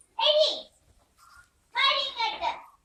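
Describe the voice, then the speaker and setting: In a put-on character voice, a woman squeaks at an extremely high pitch, with a slight echo on the recording. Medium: short film. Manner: loud, bossy.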